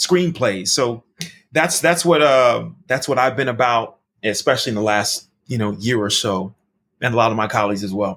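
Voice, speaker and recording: In a very clean recording with a silent background, a man with a medium pitch and an unremarkable speaking voice talks at a moderate pace with ordinary pitch variation. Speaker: Broadway actor and recording artist. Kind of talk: casual interview answer.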